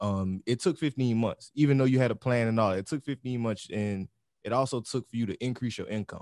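A man talks at a fairly quick pace and medium pitch with ordinary pitch variation. The sound is dry with no echo, over a quiet background. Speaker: podcast host. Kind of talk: casual chat. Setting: studio. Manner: animated. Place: studio. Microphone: studio mic.

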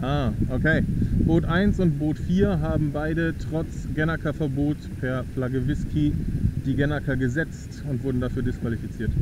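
A man talks at a moderate pace with ordinary pitch variation, the sound dry with no echo despite loud background noise. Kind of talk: race officiating commentary. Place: boat.

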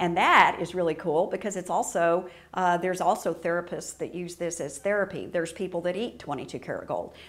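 A woman with a normal speaking voice, fairly low in pitch, at a fairly quick pace with fairly even intonation and hardly any pauses. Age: 60s. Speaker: printmaking artist. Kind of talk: tutorial. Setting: art studio. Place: studio.

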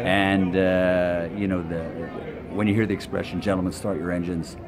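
A man with a very deep, low voice speaks at a moderate pace in a flat monotone over noticeable background noise. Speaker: ring announcer. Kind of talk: interview answer. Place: hall.

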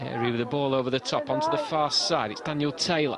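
Over crowd noise in the background, a man talks at a very fast pace in a fairly high pitch, his tone animated and his intonation lively. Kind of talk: football commentary. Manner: fast, clipped play-by-play delivery; animated, building excitement at chances.

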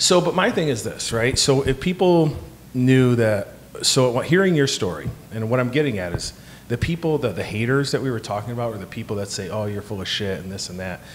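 Against light background noise, a man of medium pitch talks at a fairly quick pace in an animated tone. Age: 40s. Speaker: podcast co-host. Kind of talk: casual chat. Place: home room. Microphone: handheld.

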